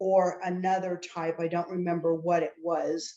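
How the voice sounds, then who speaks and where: A woman with an American accent speaks at a fairly slow pace and fairly low pitch. Her tone is dark and mellow, her intonation monotone and flat. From Oklahoma, US. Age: 60s. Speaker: attorney, clinical trial patient. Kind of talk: interview.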